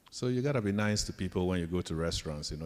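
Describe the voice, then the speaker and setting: A man with a Ghanaian accent and a very deep, low pitch. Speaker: professor. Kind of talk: leadership talk to students.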